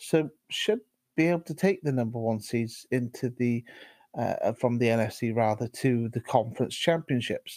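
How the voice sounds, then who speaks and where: In a British accent, a man of medium pitch talks at a moderate pace with ordinary pitch variation. The recording is very clean and silent, with a dry, close sound and no echo. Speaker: podcast co-host. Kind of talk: casual sports chat. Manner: halting, many fillers and repetitions.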